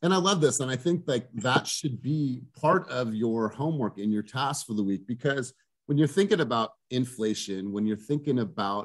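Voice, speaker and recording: Against a quiet background, a man speaks at a moderate pace with lively intonation. He leaves hardly any pauses. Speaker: team coach. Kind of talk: coaching talk. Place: home room. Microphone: video call.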